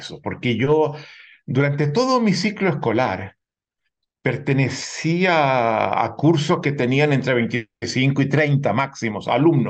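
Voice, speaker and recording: A man's somewhat breathy voice, fairly high in pitch with ordinary pitch variation, at a very slow pace against a quiet background. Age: 70s. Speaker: sociologist and author. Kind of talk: interview.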